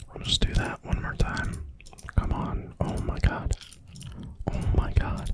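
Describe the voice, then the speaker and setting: Someone whispers in a relaxed tone over noticeable background noise. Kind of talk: casual talk to camera while gaming. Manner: soft-spoken, relaxed.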